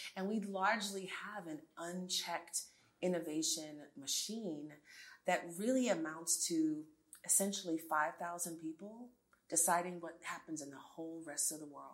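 A woman with an American accent uses a normal speaking voice, fairly low in pitch with ordinary pitch variation. Her moderate pace comes with big swings in loudness. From New York City. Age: 40s. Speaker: tech entrepreneur. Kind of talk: interview.

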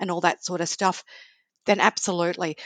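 A woman's fairly low voice with an Australian accent, dry and close with no echo. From Australia, Sydney. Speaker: travel blogger and author. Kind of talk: interview.

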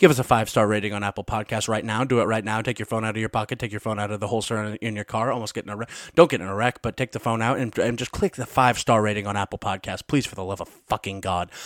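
At a very fast pace, a man with a fairly low voice speaks on a very clean recording with a silent background and a dry, close sound with no echo. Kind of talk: casual chat. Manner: animated.

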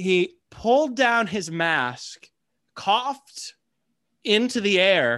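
This man's delivery is very slow. He is the only speaker. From US Midwest. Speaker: podcast co-host. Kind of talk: casual chat.

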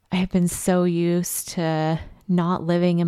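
In a very clean, dry, close recording with a silent background and no echo, a woman with a fairly low pitch speaks at a fairly slow pace in a monotone, flat way. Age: 30s. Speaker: podcast host. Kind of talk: solo personal monologue. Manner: casual, frequent laughter.

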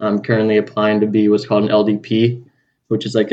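Speaking at a fairly quick pace, the man has a fairly low pitch. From Southern California (Los Angeles area). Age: 20s.

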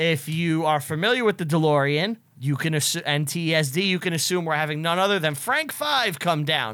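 A man with an American accent talks with hardly any pauses, his loudness very even and his pitch variation ordinary. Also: fairly high pitch for a man, moderate pace. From Staten Island, New York. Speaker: filmmaker and teacher, podcast host. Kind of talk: casual comedic chat. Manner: animated.

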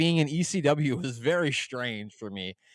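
A man with a normal speaking voice and a fairly high pitch uses lively intonation on a very clean recording with a silent background. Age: 30s. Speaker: wrestling podcast guest. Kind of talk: casual chat.

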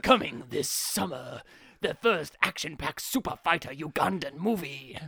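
A man speaks in a put-on character voice, pitched high. His pace is moderate. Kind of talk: dramatic trailer narration. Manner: bombastic, hyped.

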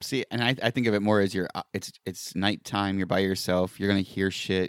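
Using an ordinary speaking voice, a man with a fairly low pitch speaks at a moderate pace, dry and close with no echo, in a very clean recording with a silent background. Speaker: podcast co-host. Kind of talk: casual banter chat.

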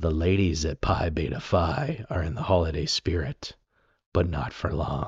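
In a put-on character voice, a man sounds raspy at a very deep, low pitch. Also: moderate pace. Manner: dramatic, teasing.

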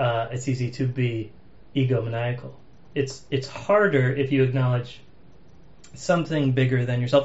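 A somewhat breathy man at medium pitch with an American accent, moderate pace and audible room echo. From Massachusetts, US. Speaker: podcast host. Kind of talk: casual chat.

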